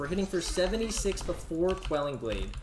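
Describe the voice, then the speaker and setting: A man speaks in a high pitch. Noticeable background noise and audible room echo fill the recording. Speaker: game coach and video creator. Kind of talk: patch notes commentary with gameplay demo. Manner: casual, filler-heavy.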